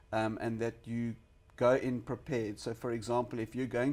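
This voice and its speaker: The man's medium-pitched voice comes through on a very clean recording with a silent background. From South Africa, Western Cape. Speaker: small business consultant. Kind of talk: interview.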